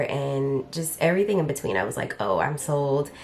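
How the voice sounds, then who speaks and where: Against noticeable background noise, a woman talks at a moderate pace in a very deep, low pitch with lively intonation. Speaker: beauty content creator. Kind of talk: casual chat.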